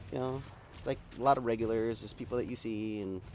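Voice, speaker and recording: A man races along at a very fast pace, with audible room echo and noticeable background noise in the recording. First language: Spanish. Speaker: gaming streamer. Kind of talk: casual chat. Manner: talkative, rambling flow.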